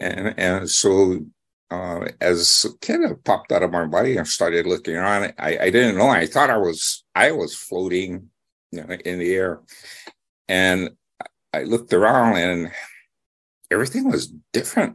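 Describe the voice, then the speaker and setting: Against a quiet background, a man with a Hawaiian accent speaks in a very deep, low voice at a moderate pace, with ordinary pitch variation and long, frequent pauses. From Hawaii, Molokai. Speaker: psychic and author. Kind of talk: interview storytelling. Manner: halting with many fillers.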